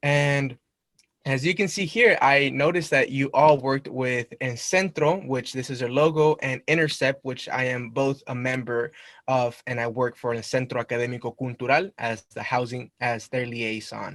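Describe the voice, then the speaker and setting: With a Spanish accent, a man speaks at medium pitch and a moderate pace. His pitch varies in an ordinary way, and the sound is dry and close with no echo. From Mexico, raised in Long Beach, California. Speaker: university student. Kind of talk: presentation to a club. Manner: casual, conversational.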